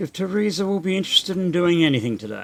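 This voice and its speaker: With music in the background, a man talks using lively intonation. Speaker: video game streamer. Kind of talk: gameplay commentary. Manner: casual.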